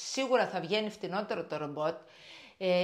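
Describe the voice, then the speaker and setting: A woman's voice against a quiet background. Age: 60s. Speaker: shop owner and vlogger; vlogger. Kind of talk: casual vlog monologue. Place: kitchen. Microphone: lapel.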